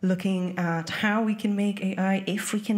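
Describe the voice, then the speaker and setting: A woman's medium-pitched voice with a French accent, fairly even intonation and audible room echo. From France. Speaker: music professor and researcher. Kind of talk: conference panel talk.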